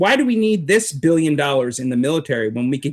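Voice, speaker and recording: At a moderate pace, a man with an ordinary speaking voice and a fairly high pitch speaks with lively intonation in a very clean recording with a silent background. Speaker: street preacher. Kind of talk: interview answer, political commentary.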